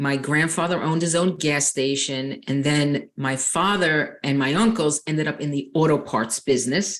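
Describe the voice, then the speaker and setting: A woman talks at a moderate pace with a very deep, low pitch. She has a strong New York accent. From Long Island, New York. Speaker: nurse and life coach. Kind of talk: interview.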